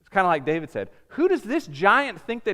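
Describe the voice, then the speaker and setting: Very wide pitch swings mark a man's raised, projected voice on a very clean recording with a silent background. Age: 30s. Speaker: pastor. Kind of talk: sermon.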